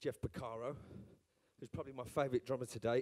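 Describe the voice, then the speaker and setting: Very fast and with fairly even intonation, a man talks in a Birmingham accent with a dark, mellow tone. The sound is dry and close with no echo. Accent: Birmingham accent, noticeable. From Birmingham, England. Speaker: session drummer. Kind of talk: live talk at drum clinic. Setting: stage with audience. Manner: casual, hesitant with fillers.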